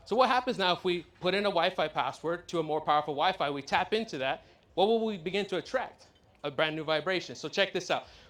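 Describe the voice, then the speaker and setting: Speaking very fast with a Californian accent, this man has a high voice and an animated tone. His pitch varies in an ordinary way. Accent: Californian American English. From US, San Diego. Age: 20s. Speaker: law of attraction coach. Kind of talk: motivational talk to live audience. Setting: stage with audience and slides. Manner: animated, repetitive.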